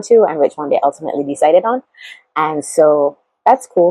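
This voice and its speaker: A woman with a Barbadian accent speaks at a very deep, low pitch with ordinary pitch variation. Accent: Barbadian (Bajan) English. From Barbados. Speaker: YouTuber, how-to and lifestyle vlogger. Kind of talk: casual vlog tutorial. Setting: sitting talking to a camera. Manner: chatty, animated.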